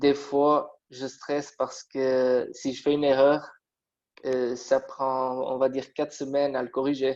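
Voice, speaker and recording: In a Portuguese accent, a man with a fairly high pitch talks at a very slow pace in a monotone, flat intonation. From Portugal. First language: Portuguese (speaking French). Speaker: metal construction draftsman. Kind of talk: interview. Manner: halting, many hesitations.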